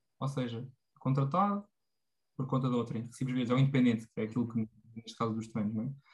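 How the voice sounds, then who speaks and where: A man talks at a fairly quick pace with medium pitch. His voice is somewhat breathy. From Portugal, Tomar (central Portugal). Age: 20s. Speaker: former student and personal development enthusiast. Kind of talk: casual chat. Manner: halting, many fillers and repetitions.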